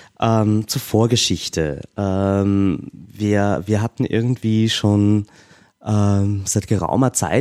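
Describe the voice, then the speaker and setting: A man's fairly low voice with a dark, mellow tone, dry and close with no echo. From Austria. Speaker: activist and stand-in co-host. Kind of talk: casual chat. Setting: remote call.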